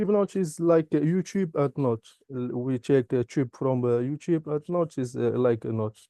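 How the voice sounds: The speaker's dark, mellow tone carries ordinary pitch variation at a moderate pace, recorded with a dry, close sound and no echo. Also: man, medium pitch for a man.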